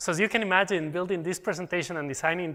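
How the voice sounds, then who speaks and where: Very fast and bright, sharp in tone, a man talks with a slight non-native accent and ordinary pitch variation. The recording is very clean, with a silent background. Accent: slight foreign. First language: Spanish. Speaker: technical program manager presenting at a conference. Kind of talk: conference presentation.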